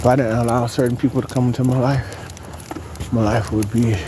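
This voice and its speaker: Over noticeable background noise, the man's voice comes across as soft-spoken. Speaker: vlogger. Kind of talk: casual monologue.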